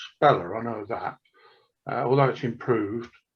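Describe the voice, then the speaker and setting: Moderate pace from a man with an English accent. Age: 70s. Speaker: author. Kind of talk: casual chat.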